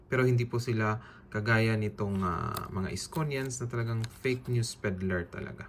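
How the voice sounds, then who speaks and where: Medium pitch for a man, with ordinary pitch variation, a moderate pace and noticeable background noise. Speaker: political vlogger. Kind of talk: casual vlog rant.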